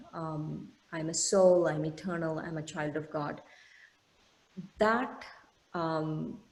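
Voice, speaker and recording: A woman speaks at a very slow pace with a fairly low pitch and ordinary pitch variation, with audible room echo around her. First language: an Indian language. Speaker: meditation teacher. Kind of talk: lecture. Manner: halting, many fillers.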